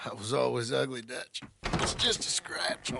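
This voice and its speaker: A man puts on a raspy character voice at medium pitch and a moderate pace. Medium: video game.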